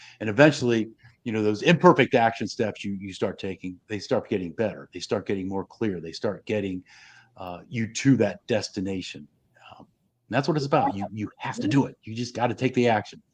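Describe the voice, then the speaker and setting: An ordinary speaking voice from a man, fairly low and fairly quick, with ordinary pitch variation and big swings in loudness against a quiet background. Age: 60s. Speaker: live stream host, coach. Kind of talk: casual interview chat. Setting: live stream.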